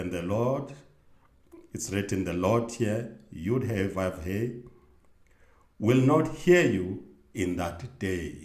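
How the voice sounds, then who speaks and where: Somewhat breathy and fairly low-pitched, a man uses lively intonation at a very slow pace, with long, frequent pauses and audible room echo. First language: not English. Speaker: religious video host. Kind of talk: bible teaching monologue. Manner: halting with self-corrections.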